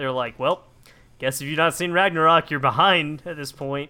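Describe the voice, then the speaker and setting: A man speaks at a fairly quick pace. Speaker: podcast co-host. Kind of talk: casual chat.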